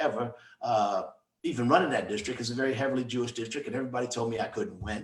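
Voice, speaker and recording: A man with an American accent at a medium pitch, ordinary pitch variation and a very fast pace. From New York City, Harlem. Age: 70s. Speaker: former state representative. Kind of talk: interview.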